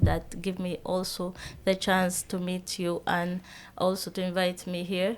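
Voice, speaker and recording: Speaking with a Sudanese accent, a woman holds a medium pitch and moderate pace in a monotone, flat intonation, in a very clean recording with a silent background. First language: Arabic. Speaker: entrepreneur. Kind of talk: interview. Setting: studio. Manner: halting.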